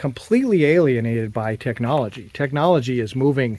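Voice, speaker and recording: This is a man talking. His pitch sits in the medium range and varies in an ordinary way. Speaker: video blogger. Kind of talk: casual monologue while hiking. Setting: outdoors, canyon hike. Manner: slow; thoughtful, unscripted.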